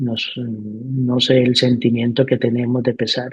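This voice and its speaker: This man talks at a very slow pace in a medium pitch. His voice is somewhat breathy. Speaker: educator. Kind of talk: interview.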